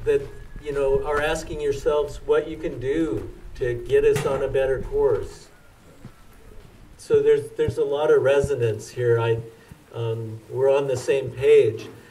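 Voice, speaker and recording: With an American accent, a man talks over noticeable background noise, his voice carrying audible room echo. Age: 60s. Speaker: climate activist. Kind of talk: speech. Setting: outdoors. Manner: halting.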